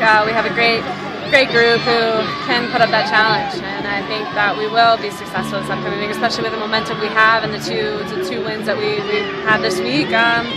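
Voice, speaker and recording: A woman talks at a fairly quick pace. Loud music plays in the background. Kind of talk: interview answer. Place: stadium. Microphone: phone near.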